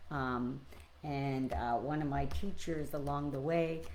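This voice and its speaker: Very slow speech from a woman, with audible room echo around her. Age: 60s. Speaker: spiritual teacher. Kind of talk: spiritual reflection livestream. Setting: live stream. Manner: hesitant, many fillers.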